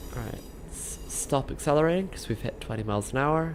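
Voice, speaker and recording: A woman's voice with vocal fry, a moderate pace and ordinary pitch variation. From southern England (Reading). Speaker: gaming streamer. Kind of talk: live gameplay commentary. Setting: live stream. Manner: casual, chatty.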